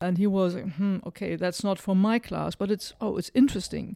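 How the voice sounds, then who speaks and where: Someone with a German accent is captured in a very clean recording against a silent background. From northern Germany, near Hanover. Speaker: ad school managing director. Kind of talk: interview conversation. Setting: in-person studio conversation.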